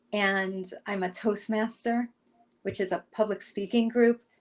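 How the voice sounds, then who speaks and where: A woman is speaking. She has an American accent. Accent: Brooklyn accent, stronger when emphatic. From New York, Brooklyn. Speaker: career coach. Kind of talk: interview.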